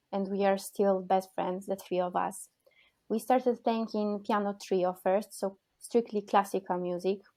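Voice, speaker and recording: A woman's medium-pitched voice with a Polish accent and a monotone, flat intonation, on a very clean recording with a silent background. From Poland. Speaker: cellist and composer. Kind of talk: interview. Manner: halting.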